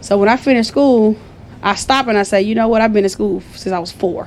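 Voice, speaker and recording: A woman talks at a fairly quick pace in an animated tone. There is noticeable background noise. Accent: Southern. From US South. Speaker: business founder. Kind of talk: interview storytelling.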